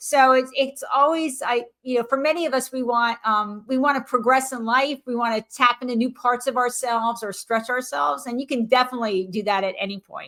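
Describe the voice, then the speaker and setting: Speaking with an American accent, a woman with a high pitch talks at a fairly quick pace with hardly any pauses and ordinary pitch variation. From US Northeast (central New Jersey). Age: 60s. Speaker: retired judge and author. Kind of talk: podcast interview.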